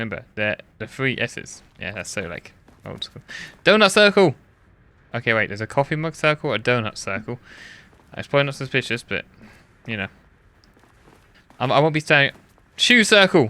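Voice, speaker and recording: A man speaks in a bright, sharp tone with very wide pitch swings, big jumps in loudness, and long, frequent pauses. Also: medium pitch for a man. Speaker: gaming video creator. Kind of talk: gameplay commentary. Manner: casual, halting.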